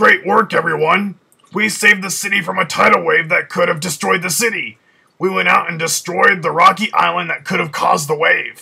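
Using a cartoonish character voice, a man speaks high and fairly quickly. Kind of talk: cartoon character dialogue.

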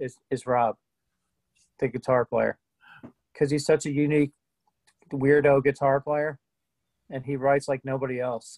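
With long, frequent pauses, a man speaks at medium pitch in a slightly mellow tone and fairly even intonation, the sound dry and close with no echo.

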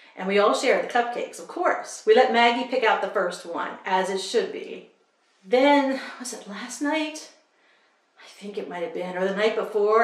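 In a room with audible echo but a quiet background, a woman with a warm tone and fairly high pitch speaks at a moderate pace with big swings in loudness. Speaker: book vlogger. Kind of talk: casual vlog talk to camera. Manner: warm, chatty. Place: home room. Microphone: camera far.

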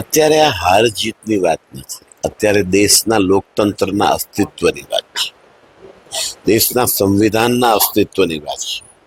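The speaker has an unremarkable speaking voice. Pitch varies in an ordinary way. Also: man, fairly low pitch for a man, dry, close sound with no echo. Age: 60s. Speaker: politician, parliamentary candidate. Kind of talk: interview.

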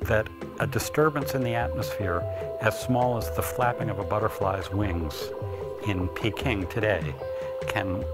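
Loud music fills the background while a man talks at a moderate pace. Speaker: interviewee. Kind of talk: interview answer. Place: home room.

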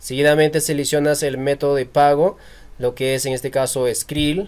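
A man speaks at a fairly high pitch. His intonation is flat and monotone. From Peru. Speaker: YouTube tutorial creator. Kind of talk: tutorial. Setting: screen recording.

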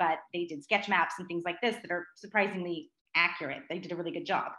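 Very fast speech from a woman in a bright, sharp tone, with audible room echo and a quiet background. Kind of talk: lecture. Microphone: video call.

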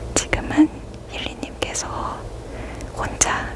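Whispering in a gentle tone, a woman goes at a very slow pace over noticeable background noise. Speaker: reiki healer / ASMR healing guide. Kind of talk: ASMR crystal healing session addressed to the listener. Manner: soft, gentle, caring.

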